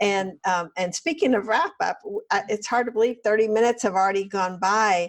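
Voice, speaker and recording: A normal speaking voice at a moderate pace, with ordinary pitch variation and very even loudness. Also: woman, fairly high pitch for a woman. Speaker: podcast host. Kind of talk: interview.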